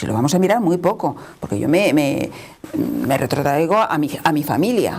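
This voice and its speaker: A woman with a very deep, low voice talks at a moderate pace with lively intonation. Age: 60s. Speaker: panel guest. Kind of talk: panel discussion.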